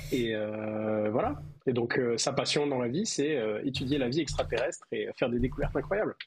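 A man at a medium pitch talks at a moderate pace, with ordinary pitch variation and very even loudness. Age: 30s. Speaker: IT worker, tabletop role-playing player. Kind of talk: tabletop role-playing actual play. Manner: hesitant, many fillers.

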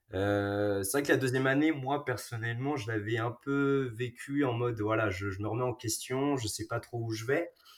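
Hardly pausing, a man talks at a moderate pace in a medium pitch with ordinary variation. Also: very clean recording, silent background. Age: 20s. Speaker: pharmacy student. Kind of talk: casual chat. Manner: halting, many repetitions.

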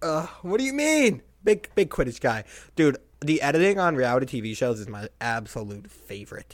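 A man talks at a moderate pace in an animated tone, with very wide pitch swings and big jumps in loudness. The recording is very clean, with a silent background. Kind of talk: casual chat about baseball. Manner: joking, animated.

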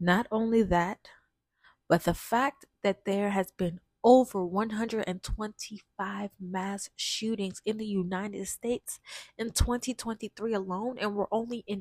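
A woman speaks fairly slowly with a fairly high pitch and ordinary pitch variation. The sound is dry and close, with no echo. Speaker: podcast host. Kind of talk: casual monologue. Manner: halting, stumbling.

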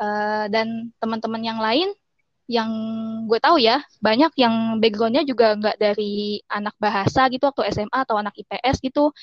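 In a normal speaking voice, a woman with a fairly high pitch talks at a moderate pace with fairly even intonation. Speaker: English education graduate. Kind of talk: casual chat.

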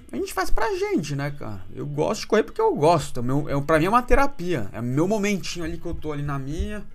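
An animated man talks at a fairly quick pace with hardly any pauses and big swings in loudness, over background music in audible room echo. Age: 30s. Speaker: podcast host. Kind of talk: casual monologue.

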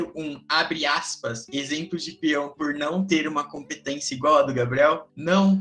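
Speaking at a fairly slow pace, a man with a fairly high pitch is heard over noticeable background noise. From São Paulo, Brazil. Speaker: youth gaucho tradition representative and podcast host. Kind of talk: casual panel discussion.

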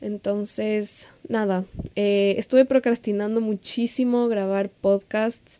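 A woman's fairly high-pitched, dark, mellow voice in a monotone, flat intonation at a very slow pace, with a dry, close sound and no echo. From Ecuador. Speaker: podcast host and social media coach. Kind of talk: solo podcast monologue.

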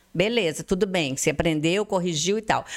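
This woman talks at a moderate pace. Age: 50s. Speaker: advertising and events entrepreneur. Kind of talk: interview.

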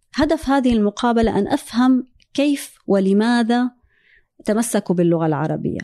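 A woman with a dark, mellow tone speaks at a fairly slow pace and very even loudness, in a dry, close sound with no echo and a quiet background. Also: fairly high pitch for a woman, lively intonation. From Syria. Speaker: energy engineer. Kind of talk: interview conversation.

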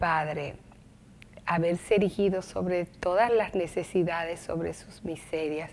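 A woman with an unremarkable speaking voice, fairly low in pitch, fairly slow, with fairly even intonation and big swings in loudness. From Dominican Republic, Santo Domingo. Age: 50s. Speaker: lawyer and former deputy minister. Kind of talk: TV interview.

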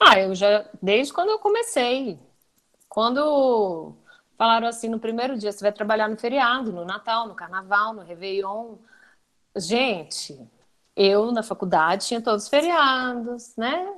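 A woman with an ordinary speaking voice talks in a fairly high pitch with ordinary pitch variation and big swings in loudness. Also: fairly slow pace. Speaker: TV journalist and news anchor. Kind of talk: interview answers in a live webinar chat.

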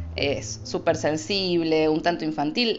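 A woman speaks in a Rosario accent while music plays behind her. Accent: Argentine Spanish, Rosario. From Argentina, Rosario. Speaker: astrologer, podcast host. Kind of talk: casual solo podcast. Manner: improvised, informal.

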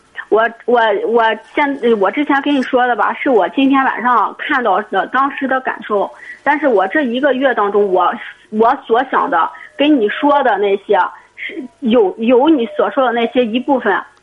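Over noticeable background noise, a woman talks at a moderate pace. Her pitch is high and her intonation lively. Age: 20s. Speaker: caller. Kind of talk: call-in advice conversation. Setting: phone call. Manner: halting, repetitive.

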